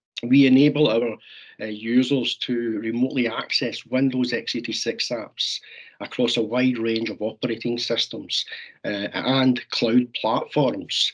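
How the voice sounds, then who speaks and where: A man in a Scottish accent talks at a fairly slow pace, with medium pitch and monotone, flat intonation. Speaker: software sales representative. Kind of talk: webinar presentation.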